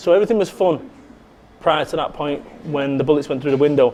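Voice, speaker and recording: With a Mancunian accent, a man speaks in a dark, mellow tone with ordinary pitch variation. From northern England, Salford, Manchester. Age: 40s. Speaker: motivational speaker. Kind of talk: interview. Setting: cafe. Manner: animated.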